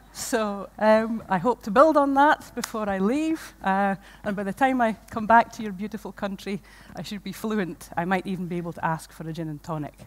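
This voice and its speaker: Spoken in a Shetland accent at a moderate pace, with lively intonation. The loudness swings widely from moment to moment. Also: woman, medium pitch for a woman. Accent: Shetland Scottish. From Scotland, Shetland. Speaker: environmental education programme manager. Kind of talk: conference lecture. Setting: stage with audience.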